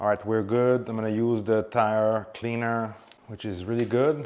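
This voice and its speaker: Noticeable background noise sits under the recording. A man speaks at a moderate pace and a medium pitch. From Quebec, Canada (Montreal). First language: French. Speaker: car detailing YouTuber. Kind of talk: tutorial with casual chat.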